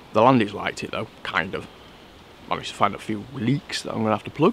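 In an ordinary speaking voice, a man talks at a fairly quick pace and a fairly low pitch, the sound dry with no echo and light background noise behind him. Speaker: bushcraft vlogger. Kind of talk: casual vlog chat. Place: forest.

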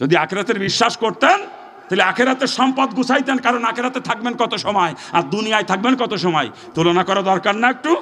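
Loudness stays very even, with ordinary pitch variation. Noticeable background noise runs underneath. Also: man, high pitch for a man. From Bangladesh, Narail area. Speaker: Islamic preacher. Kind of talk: sermon.

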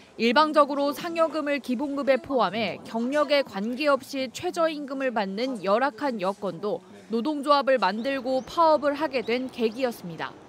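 The speech moves at a moderate pace with hardly any pauses, against noticeable background noise. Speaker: news reporter. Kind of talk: scripted narration.

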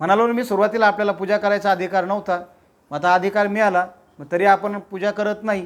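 A man speaks loudly. His pitch is high. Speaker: Buddhist preacher. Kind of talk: sermon. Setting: house gathering without microphone. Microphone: no microphone.

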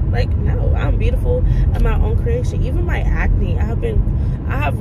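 A woman is speaking. Loud noise fills the background. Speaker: vlogger. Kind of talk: casual vlog chat. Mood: reflective, earnest. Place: car. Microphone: phone near.

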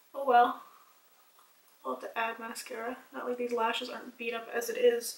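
A woman speaks at a moderate pace in a high pitch with monotone, flat intonation, leaving long, frequent pauses. Her loudness swings widely, and there is audible room echo. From Canada. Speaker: beauty vlogger. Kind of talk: casual chat. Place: home room. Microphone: camera far.

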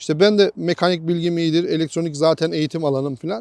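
A man at a moderate pace, dry and close with no echo, in a very clean recording over a silent background. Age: 40s. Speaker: motorcycle enthusiast. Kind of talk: casual chat.

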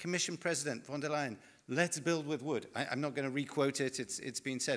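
A man with a British accent talks against a quiet background. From Britain. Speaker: forest industry representative; panelist. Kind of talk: panel discussion. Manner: animated. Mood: confident, persuasive. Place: home room.

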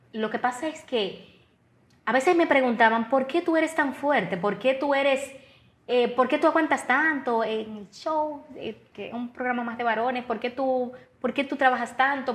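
This woman's voice sits high, with ordinary variation in pitch. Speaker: radio broadcaster and TV personality. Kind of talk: interview answer. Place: studio.

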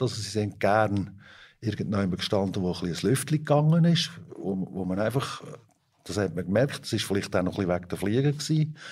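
A somewhat breathy, lively voice at a fairly quick pace on a very clean recording with a silent background. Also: man. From Switzerland, Fricktal (Aargau). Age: 50s. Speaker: organic dairy farmer. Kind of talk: interview.

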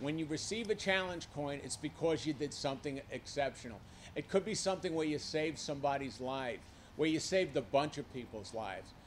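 A man speaks at a fairly quick pace with a Brooklyn accent. Light background noise is present. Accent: Brooklyn New York. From New York. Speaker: civilian army aide. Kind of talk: public remarks. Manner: animated. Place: hall. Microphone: podium.

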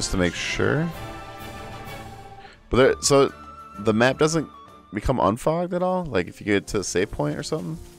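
With music in the background, a man of medium pitch speaks with very wide pitch swings and long, frequent pauses. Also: moderate pace. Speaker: gamer streamer. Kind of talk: casual gameplay commentary.

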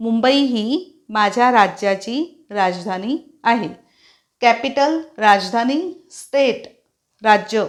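On a very clean recording with a silent background, a woman has an ordinary speaking voice, fairly high in pitch with ordinary pitch variation. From Maharashtra, India. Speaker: English teacher. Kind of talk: tutorial.

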